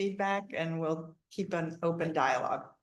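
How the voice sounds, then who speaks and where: A woman talks at a moderate pace in a fairly low pitch, her intonation fairly even. Room echo is audible. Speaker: city council member. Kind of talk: public meeting remarks. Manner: loud; hesitant with fillers.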